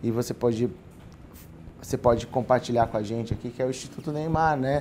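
Fairly quick in pace, a man speaks in a medium pitch with fairly even intonation. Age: 30s. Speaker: podcast host. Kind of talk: casual chat.

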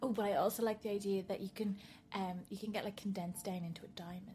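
A woman with an Irish accent talks at a very fast pace in a medium-pitched, somewhat breathy voice with flat, monotone intonation and long, frequent pauses. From Ireland. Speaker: podcast guest, wedding blogger.

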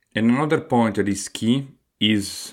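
The speaker has an Italian accent. He is a man. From Italy. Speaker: podcast host, aspiring entrepreneur. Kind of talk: solo podcast monologue. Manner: hesitant, frequent fillers.

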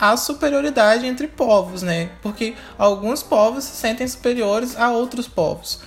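Delivered in a Brazilian accent at a moderate pace with hardly any pauses, the speech shows ordinary pitch variation over noticeable background noise. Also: woman, fairly high pitch for a woman. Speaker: podcast co-host. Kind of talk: casual chat.

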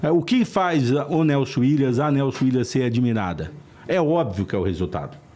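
Fairly quick and with lively intonation, a man speaks in a dark, mellow tone. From Brazil, northern Paraná. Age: 50s. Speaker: lawyer. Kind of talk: interview.

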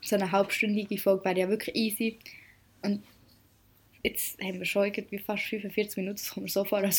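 A somewhat breathy woman's voice at medium pitch, monotone and flat in intonation, with long, frequent pauses. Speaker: podcast co-host, apprentice. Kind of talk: casual chat.

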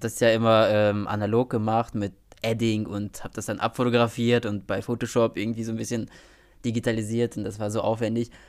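This man talks at a very fast pace in a monotone, flat intonation at medium pitch. The recording is very clean, with a silent background. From small town in Germany. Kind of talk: casual chat. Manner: mumbling.

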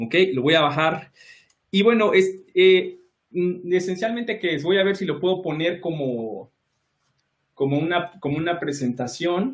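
A man's high-pitched voice, lively in intonation, at a fairly slow pace with long, frequent pauses. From Mexico City (Iztapalapa). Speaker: electronics engineer. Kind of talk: casual interview.

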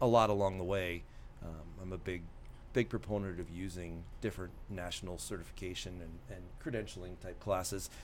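Loudness swings widely over a fairly quick pace. The intonation stays fairly even, and room echo is audible. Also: man, very deep, low pitch for a man. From Iowa, US Midwest. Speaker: volunteer fire chief and teacher. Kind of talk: casual interview.

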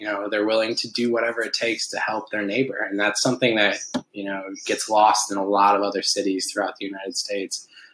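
A man with an Upper Midwest US accent talks very fast in a fairly low pitch. His intonation is flat and monotone, with noticeable background noise behind him. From Milwaukee, Wisconsin. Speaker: TV news reporter. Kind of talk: casual chat. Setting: home kitchen.

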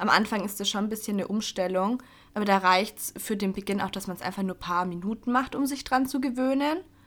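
A woman's medium-pitched voice at a very fast pace. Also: ordinary pitch variation. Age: 20s. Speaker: podcast co-host. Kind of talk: casual chat.

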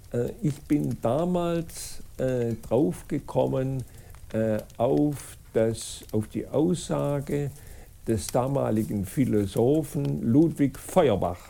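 A man's dark, mellow voice at medium pitch, very slow, with lively intonation. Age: 80s+. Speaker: school co-founder and author. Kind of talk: interview. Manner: halting, many fillers and restarts.

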